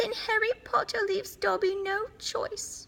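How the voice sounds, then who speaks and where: Using a put-on character voice, a woman speaks at a moderate pace and an extremely high pitch. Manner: sad, pleading.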